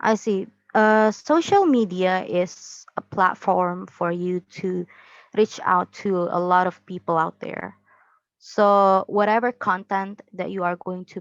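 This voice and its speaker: With an Indonesian accent, a woman talks at a fairly slow pace and medium pitch, her fairly even intonation captured in a dry, close sound with no echo. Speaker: university student. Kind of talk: interview. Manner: halting.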